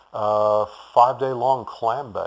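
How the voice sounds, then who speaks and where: A man with a Texan accent talks at a medium pitch with fairly even intonation. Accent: Texan American. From Houston, Texas. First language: German. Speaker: bicycle shop owner. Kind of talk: interview.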